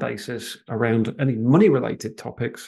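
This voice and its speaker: A man with a slight Manchester accent talks at a moderate pace and medium pitch, his dark, mellow tone delivered with monotone, flat intonation against a quiet background. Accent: slight Manchester twang. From northern England, Manchester. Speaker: financial planner and residency advisor. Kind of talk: webinar presentation with live Q&A. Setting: live online webinar. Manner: hesitant, many fillers.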